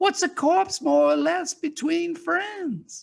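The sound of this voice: Putting on a character voice, a woman speaks slowly at an extremely high pitch with vocal fry and ordinary pitch variation.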